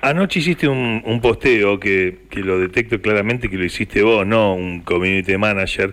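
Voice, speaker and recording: Someone with a Rioplatense accent speaks at a moderate pace with hardly any pauses. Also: man, fairly low pitch for a man, ordinary pitch variation. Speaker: radio host. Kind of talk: radio interview.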